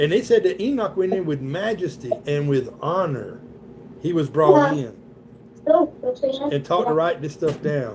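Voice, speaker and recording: A man with a Southern US accent talks at a fairly slow pace, high in pitch with very wide pitch swings. Noticeable background noise is present. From US South. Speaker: Bible study leader. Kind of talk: Bible study. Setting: livestream with participants. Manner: casual, conversational.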